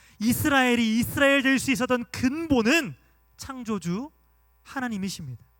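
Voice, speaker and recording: Spoken at a moderate pace with ordinary pitch variation and a slight Gwangju accent, this voice comes through on a very clean recording against a silent background. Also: man. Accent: slight Gwangju (Jeolla) dialect. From Gwangju, South Korea. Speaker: pastor. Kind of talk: sermon.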